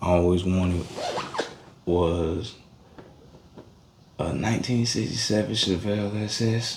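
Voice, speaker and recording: Speaking at a fairly slow pace with long, frequent pauses, a man with a very deep, low pitch shows ordinary pitch variation, with audible room echo and noticeable background noise in the recording. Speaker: amateur mechanic vlogger. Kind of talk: casual talk while repairing a car. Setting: outdoors.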